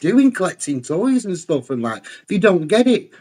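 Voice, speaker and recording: This man has a high voice and an English accent. He talks at a fairly quick pace with very wide pitch swings. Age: 40s. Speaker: toy collector. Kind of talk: casual chat.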